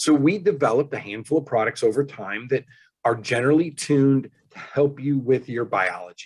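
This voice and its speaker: A man's ordinary speaking voice, medium in pitch, at a fairly quick pace. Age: 60s. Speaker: engineer and wellness product inventor. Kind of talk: interview.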